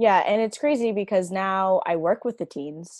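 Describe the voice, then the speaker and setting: A woman with a normal speaking voice talks at a fairly slow pace and medium pitch, with ordinary pitch variation, against a quiet background. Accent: American. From Virginia, US. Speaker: special educator and mother. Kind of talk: casual chat, personal testimony.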